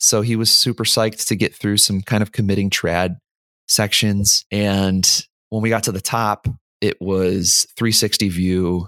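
A man speaks at a fairly slow pace in a flat monotone, with a dry, close sound, no echo, and a very clean recording over a silent background. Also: fairly low pitch for a man. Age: 30s. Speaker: software developer and amateur rock climber. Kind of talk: casual interview.

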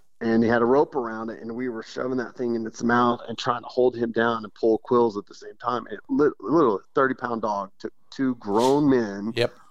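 At a moderate pace, a man with a Texas accent and medium pitch speaks with fairly even intonation and big swings in loudness. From West Texas. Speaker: bird hunting guide. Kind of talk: interview.

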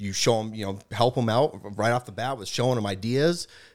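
Recorded very cleanly against a silent background, a man with a plain, everyday voice talks at a moderate pace with medium pitch and ordinary pitch variation. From Boston. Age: 30s. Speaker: entrepreneur. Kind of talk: casual chat.

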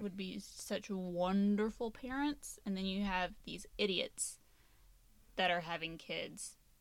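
A woman speaks in a plain, everyday voice at a medium pitch with ordinary pitch variation. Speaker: podcast host. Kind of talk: casual chat.

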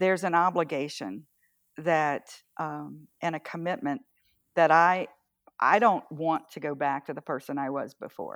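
With an American accent, a woman talks at a fairly slow pace in a very deep, low pitch, using lively intonation, vocal fry and big swings in loudness. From US South. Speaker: campaign volunteer. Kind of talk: casual interview over remote call. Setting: remote call.

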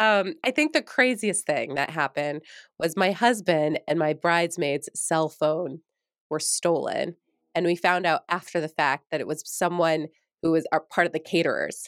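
A woman with a plain, everyday voice speaks at a moderate pace in an American accent, with a fairly low pitch and ordinary pitch variation. The recording is very clean with a silent background and a dry, close sound with no echo. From New York. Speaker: former TV news anchor, podcast coach. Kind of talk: casual interview chat.

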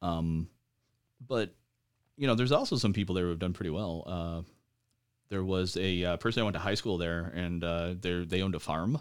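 The speaker has an American accent and ordinary pitch variation, moving at a fairly quick pace. Long, frequent pauses break up the speech in a very clean recording with a silent background. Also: man, very deep, low pitch for a man. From Michigan, US. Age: 40s. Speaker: war veteran. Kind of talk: casual chat.

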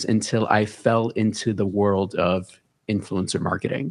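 A man's fairly low voice with an American accent. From New York City, the Bronx (Hunts Point). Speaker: fashion and gaming content creator. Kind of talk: casual interview.

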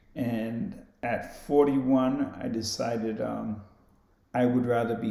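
The tone is dark and mellow, with fairly even intonation. Audible room echo is present. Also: man. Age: 50s. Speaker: boxing gym owner and boxer. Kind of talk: casual chat.

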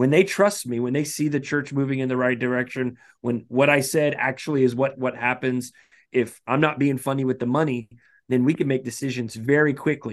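Against a quiet background, a man with an unremarkable speaking voice talks at a fairly quick pace, medium in pitch with fairly even intonation. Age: 30s. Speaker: pastor. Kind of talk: casual chat.

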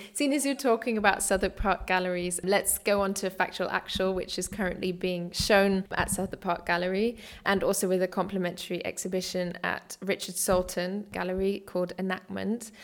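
A woman with a British accent speaks at a medium pitch with fairly even intonation. Her pace is fairly quick, with hardly any pauses. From Britain. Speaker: dance writer and podcast host. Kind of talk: interview.

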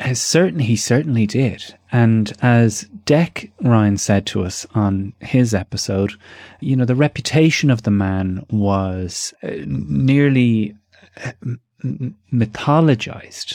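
On a very clean recording with a silent background, a man speaks at a very slow pace. His medium-pitched voice has a dark, mellow tone. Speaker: podcast host. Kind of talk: interview.

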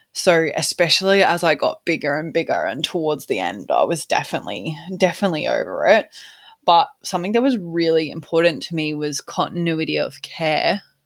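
On a very clean recording with a silent background, a woman with an Australian accent talks at a fairly quick pace. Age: 20s. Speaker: podcast host. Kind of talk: personal story.

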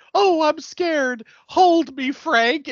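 High-pitched and clearly put on, this is a character voice. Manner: mock-scared, put-on.

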